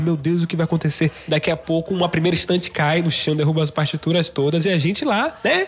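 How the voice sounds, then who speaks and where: A man speaks in an unremarkable speaking voice at a fairly quick pace. His pitch is fairly high and his intonation fairly even. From Salvador, Bahia. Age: 20s. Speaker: guitarist. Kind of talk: storytelling.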